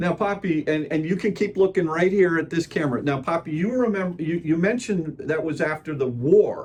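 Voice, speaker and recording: A man with a high voice talks at a fairly quick clip, using ordinary pitch variation and hardly any pauses, over noticeable background noise. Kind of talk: interviewer questions, casual.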